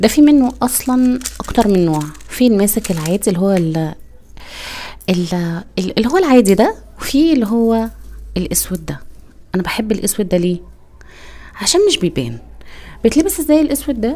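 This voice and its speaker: A woman with an Egyptian accent speaks at a moderate pace with long, frequent pauses. Her fairly high voice makes very wide pitch swings over noticeable background noise. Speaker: niqab accessories seller and vlogger. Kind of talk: casual product tutorial. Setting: indoors, poor lighting. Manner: hesitant, many fillers.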